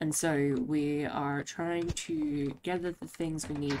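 Speaking slowly in a low pitch with little pitch movement, a woman has a slightly mellow tone.

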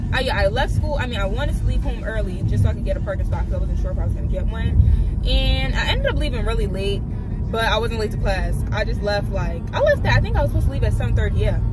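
Speech at a very fast pace, dry with no echo, over loud background noise. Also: woman. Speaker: student vlogger. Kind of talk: casual vlog chat. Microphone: phone near.

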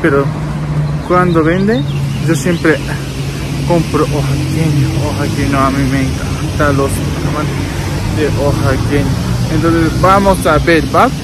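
Loud background noise behind a fairly slow pace. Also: man, fairly high pitch for a man, ordinary pitch variation.

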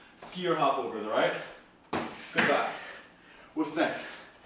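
A man talks at a fairly slow pace, with loud background noise and audible room echo around him. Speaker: fitness trainer. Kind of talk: workout instruction. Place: home room. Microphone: camera far.

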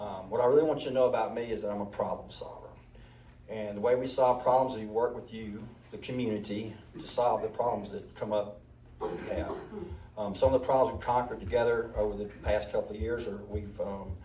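With a Mississippi accent, a man of medium pitch talks at a fairly quick pace with fairly even intonation and big swings in loudness, amid noticeable background noise and audible room echo. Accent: Mississippi Southern. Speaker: county commissioner candidate, restaurant owner. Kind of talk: candidate forum speech.

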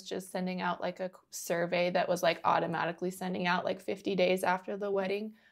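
This woman has an American accent and a medium-pitched voice. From US Midwest. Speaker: podcast host and photographer. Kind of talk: casual interview chat.

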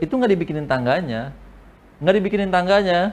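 A man speaks at a very fast pace with an animated tone. His voice sits high for a man and swings very widely in pitch. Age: 20s. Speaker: open mic stand-up comedian. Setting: stage with audience. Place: studio.

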